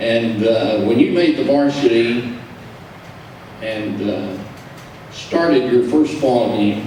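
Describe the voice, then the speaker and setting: Over noticeable background noise and audible room echo, a man with a Texan accent speaks at a very slow pace with long, frequent pauses, a medium pitch and ordinary pitch variation. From Texas, Brownwood. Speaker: sports radio broadcaster. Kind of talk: acceptance speech.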